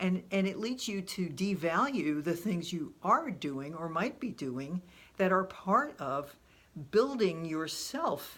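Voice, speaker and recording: Speaking at a very slow pace, a woman with a fairly low pitch uses lively intonation. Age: 70s. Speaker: self-help vlogger. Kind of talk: casual vlog monologue.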